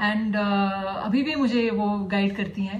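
With an audible room echo, a woman talks at a medium pitch with fairly even intonation. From Dubai, then US from age 12. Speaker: classical flute player. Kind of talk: interview. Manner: hesitant, many fillers (uh, um).

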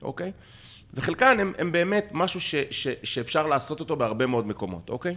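Bright, sharp tone with vocal fry, very wide pitch swings and a fairly quick pace. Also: man, fairly high pitch for a man. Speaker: crisis management business owner, ice swimmer. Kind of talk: casual interview conversation. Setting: at his home.

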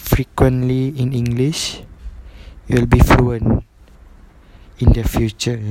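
Monotone, flat delivery from a man at medium pitch, with noticeable background noise. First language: not English. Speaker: university student training to be a teacher. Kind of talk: solo podcast monologue for class assignment. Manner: halting, many fillers and repetitions.

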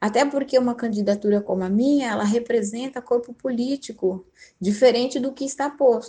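Using a dark, mellow tone, a woman speaks at a high pitch and moderate pace with fairly even intonation. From São Paulo city, Brazil. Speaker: teacher and political candidate. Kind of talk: interview.

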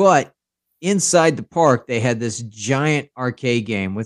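A man with an American accent has an unremarkable speaking voice at medium pitch, with lively intonation and a fairly slow pace. The sound is dry and close, with no echo. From Oklahoma. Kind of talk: casual chat.

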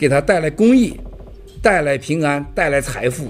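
A man's fairly high voice rises and falls with lively intonation against noticeable background noise. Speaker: event keynote speaker. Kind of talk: speech to event audience.

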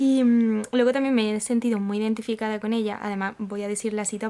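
Dark and mellow in tone, this voice holds a monotone, flat intonation. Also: woman. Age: 20s. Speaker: podcast host. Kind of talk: casual chat.

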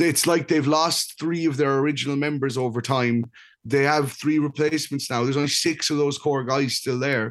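An unremarkable speaking voice at a moderate pace, with fairly even intonation and very even loudness. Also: man, fairly high pitch for a man, quiet background. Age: 30s. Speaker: music podcast co-host. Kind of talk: casual chat.

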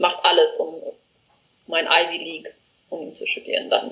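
Her loudness swinging widely, a woman talks at a moderate pace with long, frequent pauses. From South Africa. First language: not German (South African) (speaking German). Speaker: education startup founder. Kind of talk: interview. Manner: halting, many fillers.

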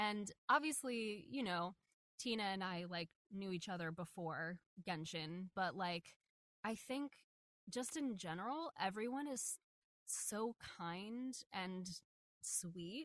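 Speaking at a very slow pace with long, frequent pauses, a woman uses lively intonation at a medium pitch, captured in a dry, close sound with no echo. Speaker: voice actor. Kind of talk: casual chat. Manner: animated.

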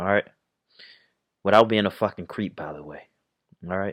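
A man talks at a fairly quick pace, his fairly low pitch carried by fairly even intonation. The sound is dry and close with no echo, on a very clean recording with a silent background. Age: 20s. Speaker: YouTuber. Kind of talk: casual vlog monologue. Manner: casual, halting with fillers.

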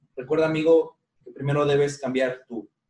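The voice has a dark, mellow tone, is somewhat breathy and moves at a moderate pace. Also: man. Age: 30s. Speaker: podcast host. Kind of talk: casual chat. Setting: at home.

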